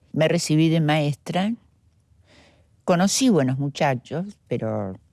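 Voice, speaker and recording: A woman speaks at a very slow pace with lively intonation, her dark, mellow tone captured in a dry, close sound with no echo. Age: 60s. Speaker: interviewee recounting her life. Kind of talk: testimony. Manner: halting, many fillers and repetitions.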